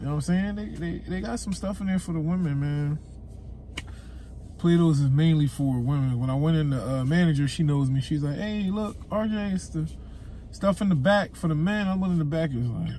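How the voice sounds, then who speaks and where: A man talks at a moderate pace with ordinary pitch variation. The sound is dry with no echo, with light background noise. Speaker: vlogger. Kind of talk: casual vlog chat. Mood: amused, slightly disappointed. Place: car. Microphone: phone near.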